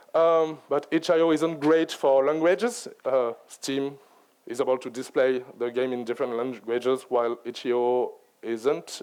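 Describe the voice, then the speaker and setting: A man at medium pitch with a French accent, fairly slow delivery and ordinary pitch variation. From France. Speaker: game writer and director. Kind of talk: conference talk.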